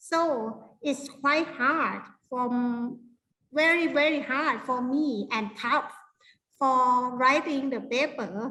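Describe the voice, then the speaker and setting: A woman uses a raised, projected voice with a bright, sharp tone and high pitch. She speaks at a very slow pace, and there is audible room echo. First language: Thai. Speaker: university lecturer. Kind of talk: workshop lecture. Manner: halting.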